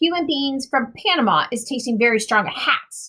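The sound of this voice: A woman does a put-on character voice at a moderate pace. It is high-pitched and bright and sharp in tone, with lively intonation.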